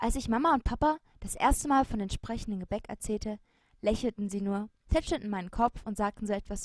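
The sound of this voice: An unforced reading voice carries the whole clip.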